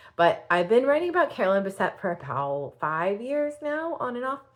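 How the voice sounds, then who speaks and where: This woman's pitch is fairly high and swings very widely. She talks fairly quickly. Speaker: fashion blogger and YouTuber. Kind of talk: casual vlog. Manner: fast; chatty, filler-heavy.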